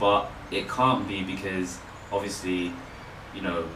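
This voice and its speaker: A man with a London accent at a moderate pace and a fairly low pitch, with audible room echo and noticeable background noise. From London, England. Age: 20s. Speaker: author and photographer. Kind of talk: casual interview. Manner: hesitant, many fillers.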